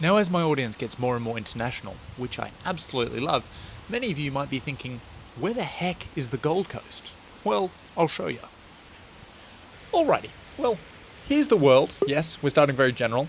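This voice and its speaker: A man's fairly high, lively voice at a fairly quick pace, broken by long, frequent pauses, over noticeable background noise. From Australia. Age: 30s. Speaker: running vlogger. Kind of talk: vlog. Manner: animated.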